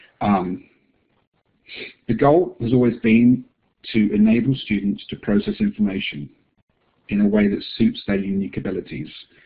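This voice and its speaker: In an English accent, a man with a fairly low pitch talks with lively intonation and long, frequent pauses. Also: moderate pace. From England. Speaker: assistive technology distributor presenting software. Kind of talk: webinar presentation.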